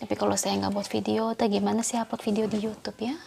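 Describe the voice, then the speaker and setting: The speaker is a woman. She is soft-spoken. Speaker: tarot reader. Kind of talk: tarot reading for viewers.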